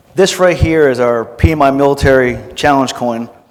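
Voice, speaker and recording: Amid noticeable background noise and audible room echo, a man speaks at a medium pitch and moderate pace with ordinary pitch variation. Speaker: conference speaker, military veteran. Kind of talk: Q&A at conference session. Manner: loud; casual, energetic.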